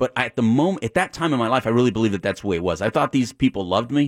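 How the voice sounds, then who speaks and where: A man with an American accent talks at a very fast pace in a medium pitch, with a dry, close sound with no echo and a very clean recording with a silent background. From El Paso, Texas, US-Mexico border. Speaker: addiction counselor. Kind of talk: interview.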